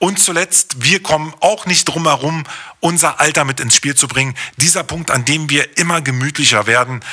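With a normal speaking voice, a man talks at a moderate pace and a fairly high pitch, using ordinary pitch variation. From East Berlin (Hohenschönhausen), East Germany. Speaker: podcast host. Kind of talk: solo podcast monologue.

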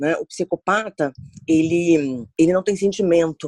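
A woman's ordinary speaking voice, fairly low in pitch with ordinary pitch variation, at a fairly slow pace, dry and close with no echo against a quiet background. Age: 40s. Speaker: HR professional, psychologist. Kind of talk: interview.

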